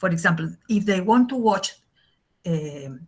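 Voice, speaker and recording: A woman talks in an Argentine accent at a fairly slow pace. Her voice is somewhat breathy. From Argentina. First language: Spanish. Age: 60s. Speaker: English teacher. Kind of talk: lecture. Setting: video call. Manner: halting.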